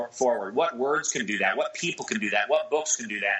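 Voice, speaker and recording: The speaker has an unremarkable speaking voice and an American accent. Delivery is fairly quick with lively intonation. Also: man. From US Pacific Northwest, Seattle. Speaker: entrepreneur and author. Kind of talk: casual chat.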